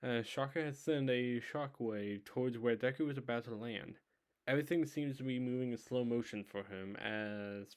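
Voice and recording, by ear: The setting is quiet. A person reads aloud in a natural voice, the pitch moving in an ordinary way.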